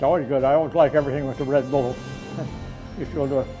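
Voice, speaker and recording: A man's voice with music in the background. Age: 80s+. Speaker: war veteran. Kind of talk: interview.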